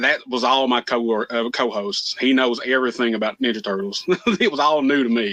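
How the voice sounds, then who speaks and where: In a Southern US accent, a man speaks at a medium pitch. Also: ordinary pitch variation, fairly quick pace. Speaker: comic book podcast co-host. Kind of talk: casual chat. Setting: live stream call.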